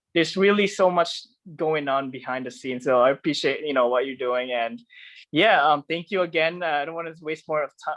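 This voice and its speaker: Fairly quick speech from a man at a fairly high pitch, with ordinary pitch variation, over a quiet background. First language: not English. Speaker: podcast host. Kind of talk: casual interview chat. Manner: halting, many fillers.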